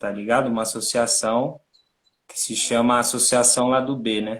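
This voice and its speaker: Speaking fairly slowly, a man uses a medium pitch. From Brazil, São Paulo (Capão Redondo). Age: 30s. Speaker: NGO co-founder and director. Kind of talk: interview on a livestream. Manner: casual, slangy.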